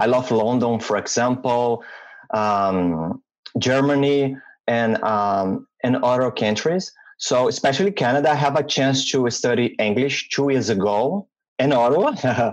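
In a Portuguese accent, a man speaks at a fairly slow pace with very even loudness and ordinary pitch variation. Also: medium pitch for a man. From Brazil. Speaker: UX designer. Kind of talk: interview. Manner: halting.

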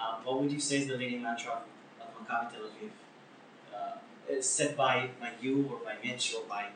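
Noticeable background noise and audible room echo surround a man speaking at a moderate pace, with medium pitch and ordinary pitch variation. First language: Hebrew. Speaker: podcast host. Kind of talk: interview; casual chat.

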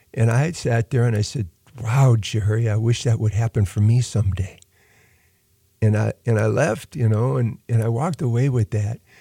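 A somewhat breathy man with an American accent, dark and mellow in tone, at medium pitch with ordinary variation, moderate pace and very even loudness, in a dry, close, very clean recording with no echo and a silent background. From US Midwest (Lorain, Ohio). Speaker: university dean and orphanage founder. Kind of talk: interview. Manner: halting.

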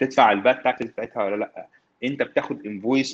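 A man talks at a very fast pace with a medium pitch. His intonation is fairly even, and the sound is dry and close with no echo. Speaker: tech consultant. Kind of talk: casual chat.

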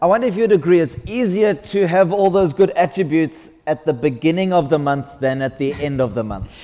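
With lively intonation and a fairly high voice, a man talks at a moderate pace over noticeable background noise. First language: English (speaking French). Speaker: visiting preacher. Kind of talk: sermon. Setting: church.

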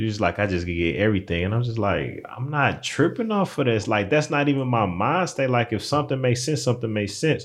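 A man with lively intonation. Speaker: podcast co-host. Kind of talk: casual chat. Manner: playful, joking.

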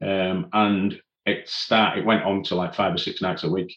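A man with a Yorkshire accent and a fairly low pitch. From northern England, Leeds. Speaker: mountain leader and climbing instructor. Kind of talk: casual interview, personal story.

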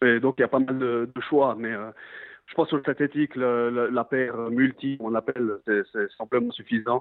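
The voice moves at a fairly slow pace in a monotone, flat intonation. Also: man, medium pitch for a man. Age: 30s. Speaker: professional footballer. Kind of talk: interview. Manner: halting.

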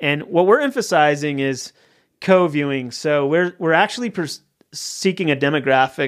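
A man's plain, everyday voice with a General American accent, fairly high pitch, ordinary pitch variation and moderate pace, on a very clean recording with a silent background. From Colorado, suburb of Denver. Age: 40s. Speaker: TV writer and producer. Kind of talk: casual interview chat. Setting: studio.

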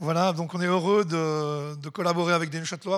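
A man's high voice at a fairly quick pace with fairly even intonation. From Swiss Jura. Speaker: literary club president. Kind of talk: welcome speech.

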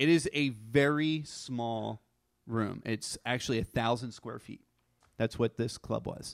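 With an American accent, a man has a normal speaking voice at a medium pitch and a fairly slow pace, with fairly even intonation and big swings in loudness. The sound is dry and close with no echo, in a very clean recording with a silent background. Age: 40s. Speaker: storyteller. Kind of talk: live storytelling. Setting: stage with audience.

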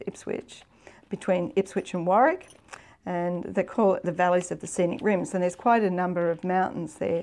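With an Australian accent, a woman speaks in a fairly even intonation. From Victoria, Australia. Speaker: international development executive. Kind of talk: interview storytelling. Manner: halting, many fillers.

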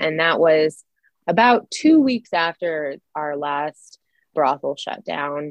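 With an American accent, a woman speaks very slowly at a very deep, low pitch. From Idaho, Silver Valley. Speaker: author and former professor. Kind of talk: interview.

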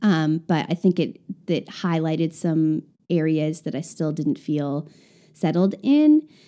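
In an American accent, a woman speaks fairly slowly at a very deep, low pitch on a very clean recording with a silent background. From rural Nebraska, US Midwest. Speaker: church planter. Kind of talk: casual interview about mental illness.

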